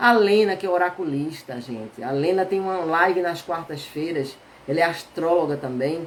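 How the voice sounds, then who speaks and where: In a northeastern Brazilian accent, a woman talks at a moderate pace with a fairly low pitch and ordinary pitch variation. Her tone is animated, and audible room echo surrounds her. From Brazilian Northeast. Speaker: therapist. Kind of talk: live stream talk. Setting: live stream.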